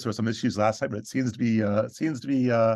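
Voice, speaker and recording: The background stays quiet. Against it, a man talks with a medium pitch. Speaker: astronomy software presenter; presenter. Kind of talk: online tutorial presentation. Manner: halting, many fillers. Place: home room. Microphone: video call.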